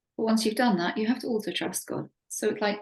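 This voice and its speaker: A woman speaks very fast in a somewhat breathy voice. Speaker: religious teacher. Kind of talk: lecture.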